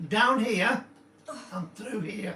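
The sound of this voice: A man talks slowly in a high, croaky voice with a bright, sharp tone. Audible room echo surrounds him. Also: ordinary pitch variation.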